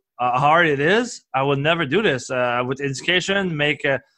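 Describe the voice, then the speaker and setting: Against a quiet background, a man with a Quebec accent speaks at a fairly quick pace in a fairly high pitch, with a bright, sharp tone and ordinary pitch variation. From Quebec, Canada. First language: French. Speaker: performance coach and entrepreneur. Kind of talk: podcast interview. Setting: recorded at a conference. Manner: halting, many fillers and restarts.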